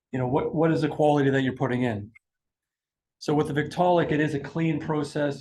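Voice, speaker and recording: Talking at a very fast pace, a man with a fairly high pitch sounds somewhat breathy and keeps his intonation fairly even. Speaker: product technical presenter. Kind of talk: industry presentation. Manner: halting, many repeated words.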